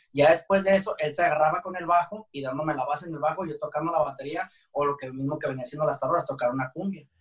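Barely pausing, a man talks very fast in a fairly high voice with fairly even intonation. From Jalisco, Mexico (San Gabriel, near Guadalajara). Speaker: band drummer. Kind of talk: interview.

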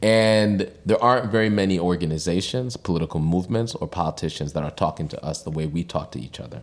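A man talks at a very fast pace in a very deep, low pitch. His intonation is lively. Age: 40s. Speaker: political organizer. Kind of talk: interview.

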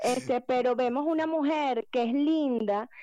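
A high-pitched woman's voice, dark and mellow in tone. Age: 40s. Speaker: motivational coach and therapist. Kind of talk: casual chat.

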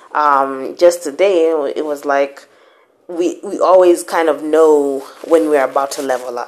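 A woman talks with a very deep, low pitch and fairly even intonation. Noticeable background noise runs under her voice. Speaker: podcast host. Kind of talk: motivational monologue. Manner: casual, code-switching with Swahili.

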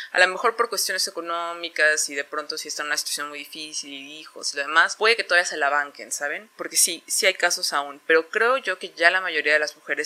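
A woman talks at a fairly quick pace in a fairly low pitch with ordinary pitch variation. She has a plain, everyday voice. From Mexico. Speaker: podcast co-host. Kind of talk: casual chat.

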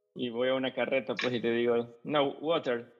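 Over music in the background, a man speaks at a medium pitch. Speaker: podcast host. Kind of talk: podcast intro and outro; casual interview.

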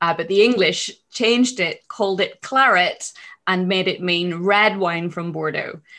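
In a very clean recording with a silent background, a woman speaks fairly slowly at a medium pitch, her tone bright and sharp and her pitch varying in an ordinary way. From Northern Ireland, Belfast. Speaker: wine expert and educator. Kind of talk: interview.

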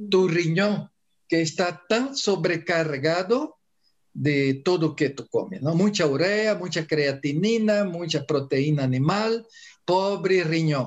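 A man's high voice with a Portuguese accent, at a very slow pace. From Brazil. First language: Portuguese (speaking Spanish). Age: 70s. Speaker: Ayurveda doctor. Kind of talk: interview.

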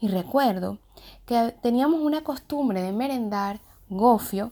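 A woman speaks with a dark, mellow tone at a fairly high pitch, swinging very widely in pitch. The recording is very clean, with a silent background. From Venezuela, Caracas. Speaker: contributor sharing a personal story. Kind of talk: personal narrative.

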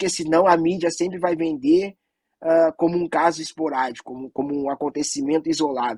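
In an ordinary speaking voice, a man talks at a fairly quick pace with a fairly high pitch, ordinary pitch variation and big swings in loudness, the sound dry and close with no echo. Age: 40s. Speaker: anti-racism organization director. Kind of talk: panel discussion.

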